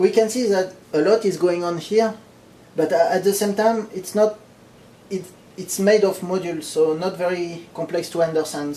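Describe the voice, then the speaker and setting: A man with a high pitch talks while noticeable background noise runs underneath. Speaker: electronics hobbyist. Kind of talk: technical explanation to camera. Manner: casual, hesitant with fillers.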